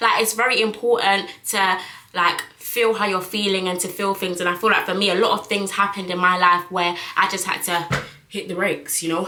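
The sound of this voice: A woman speaks at a medium pitch with a bright, sharp tone and fairly even intonation. She makes few pauses, and audible room echo surrounds her. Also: moderate pace.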